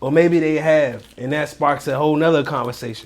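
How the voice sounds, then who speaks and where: Speaking at a moderate pace, a man uses a fairly high pitch, an animated tone and ordinary pitch variation. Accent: D.C.. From Washington, D.C. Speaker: real estate wholesaler, online money creator. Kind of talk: casual chat and tips. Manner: animated, casual slang.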